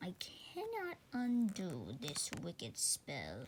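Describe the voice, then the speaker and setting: Whispering quietly in a put-on character voice, a woman speaks at a very slow pace against clear background noise. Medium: read story.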